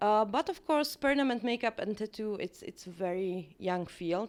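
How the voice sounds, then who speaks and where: The speaker talks with a Czech accent and very wide pitch swings. The recording is very clean, with a silent background. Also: woman. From Czech Republic. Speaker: permanent makeup artist and trainer. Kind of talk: interview. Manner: hesitant, many fillers.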